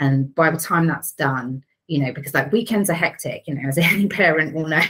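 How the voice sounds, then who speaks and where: Her pitch is very deep and low for a woman, with ordinary variation. She talks at a fairly quick pace. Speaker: digital PR team leader. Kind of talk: casual interview chat. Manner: loud.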